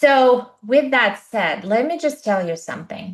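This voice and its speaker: Fairly high in pitch, a woman speaks in an animated tone with lively intonation. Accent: Eastern European. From Eastern Europe. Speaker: podcast co-host, coach. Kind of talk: casual chat.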